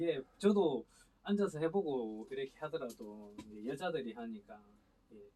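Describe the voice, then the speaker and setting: Speaking at a moderate pace, a man with a medium pitch shows big swings in loudness and very wide pitch swings. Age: 40s. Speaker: sprout ginseng farmer. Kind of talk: casual interview chat.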